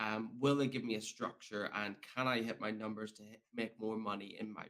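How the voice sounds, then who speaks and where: A man with a Northern Irish accent, fairly low in pitch, monotone and flat, at a fairly quick pace with big swings in loudness. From Northern Ireland. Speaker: podcast host. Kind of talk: casual interview.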